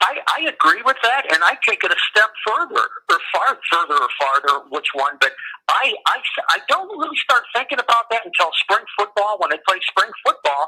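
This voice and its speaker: Raising and projecting his voice, a man speaks at a moderate pace in an extremely high pitch with very wide pitch swings, the sound dry and close with no echo, amid noticeable background noise. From Michigan. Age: 60s. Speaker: caller. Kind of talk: casual chat. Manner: halting.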